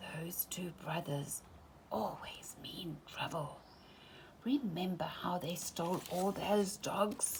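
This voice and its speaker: Whispering at a very slow pace, a woman puts on a character voice. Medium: read story.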